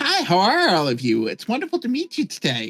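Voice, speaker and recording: Using a put-on character voice, a man speaks at a fairly quick pace in an extremely high pitch. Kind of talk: sugary. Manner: cutesy uwu.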